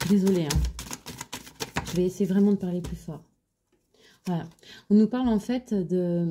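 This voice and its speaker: A woman speaks very slowly in a fairly low, somewhat breathy voice. Her tone is dark and mellow, with ordinary pitch variation. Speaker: tarot card reader. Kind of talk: tarot reading. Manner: halting; soft-spoken, low voice.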